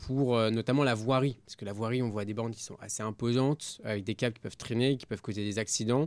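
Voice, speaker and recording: Talking at a very fast pace, a man with a medium pitch shows big swings in loudness. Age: 20s. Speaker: entrepreneur, company CEO. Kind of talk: podcast interview.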